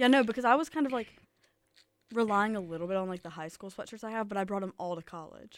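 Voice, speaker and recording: In a Southern US accent, a woman speaks at a very fast pace with medium pitch, ordinary pitch variation and big swings in loudness, on a very clean recording with a silent background. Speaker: college radio co-host. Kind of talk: casual chat. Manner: animated.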